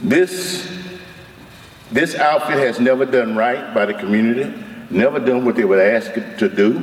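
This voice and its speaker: With an Alabama accent, a man talks over noticeable background noise. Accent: Southern US (Alabama). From US South, Mobile, Alabama. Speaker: community activist, retired Marine officer. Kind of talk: public hearing testimony. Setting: public hearing at microphone.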